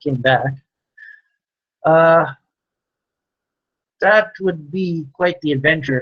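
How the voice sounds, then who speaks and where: Quiet and very slow, a man is talking. His pitch varies in an ordinary way. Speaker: farmer livestreamer. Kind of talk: live stream chat answering viewers. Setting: live stream with webcam.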